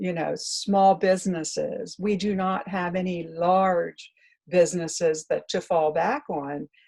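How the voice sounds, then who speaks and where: A woman speaks at a medium pitch with a West Virginia accent, her tone dark and mellow and somewhat breathy, with ordinary pitch variation. She talks at a fairly slow pace on a very clean recording with a silent background. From West Virginia, Morgan County. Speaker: newspaper publisher. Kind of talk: interview answer.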